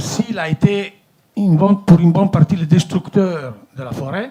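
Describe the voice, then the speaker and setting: Speaking at a fairly slow pace, a man with an Italian accent has a fairly high pitch. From Italy. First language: Italian (speaking French). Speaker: company director. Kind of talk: formal speech at a meeting. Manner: hesitant, many fillers.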